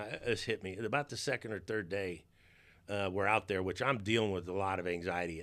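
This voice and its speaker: Over a silent background in a very clean recording, a man talks at a fairly quick pace in a bright, sharp tone with ordinary pitch variation. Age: 60s. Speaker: motivational speaker and podcast host. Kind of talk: personal life story podcast. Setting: studio. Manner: halting, with many false starts.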